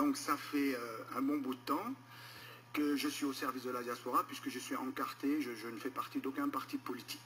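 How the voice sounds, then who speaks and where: A man talks at a moderate tempo while background music plays. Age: 60s. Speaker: political candidate. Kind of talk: political interview. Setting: radio studio.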